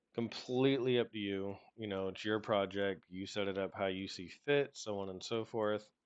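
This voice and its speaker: A normal speaking voice moves at a fairly slow pace with fairly even intonation against a quiet background. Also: man. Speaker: game development tutorial creator. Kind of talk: tutorial. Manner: casual.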